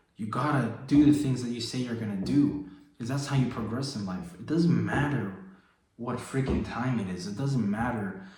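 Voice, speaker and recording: A man talks at a moderate pace with a medium pitch and lively intonation. Some room echo can be heard. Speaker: fitness and faith coach. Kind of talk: motivational vlog. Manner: low energy; casual, slangy.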